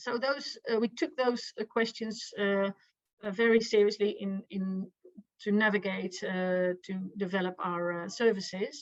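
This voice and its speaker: A woman speaks fairly slowly at a medium pitch. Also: ordinary pitch variation. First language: Dutch. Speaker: victim support professional. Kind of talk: conference presentation. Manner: halting.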